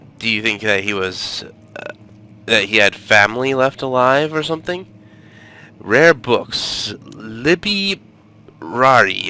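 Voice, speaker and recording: Music plays in the background as a man speaks at a very slow pace and medium pitch, with long, frequent pauses. His pitch swings very widely. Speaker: gaming let's play commentator. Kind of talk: casual gameplay commentary.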